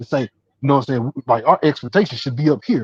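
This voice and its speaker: Speaking at a very fast pace, a man uses a fairly high pitch with ordinary variation. His voice is somewhat breathy, and the sound is dry and close with no echo. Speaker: sports talk show host. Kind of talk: heated debate. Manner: halting, many repetitions and fillers.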